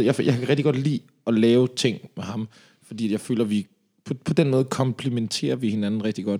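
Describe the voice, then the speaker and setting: A man with a medium pitch has a normal speaking voice and talks at a fairly quick pace. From Denmark, Slagelse (Zealand). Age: 30s. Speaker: reggae singer. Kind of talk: casual interview.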